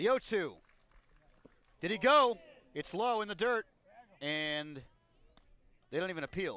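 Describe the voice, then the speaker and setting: A man uses a raised, projected voice with a bright, sharp tone and a high pitch. He talks at a fairly slow pace with lively intonation and long, frequent pauses. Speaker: baseball radio play-by-play broadcaster. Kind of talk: live radio sports play-by-play.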